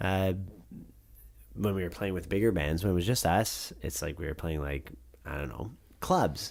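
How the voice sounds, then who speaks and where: A man with a very deep, low pitch and vocal fry speaks at a moderate pace with lively intonation, broken by long, frequent pauses. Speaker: rock band frontman. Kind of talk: casual interview chat. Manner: halting, many fillers.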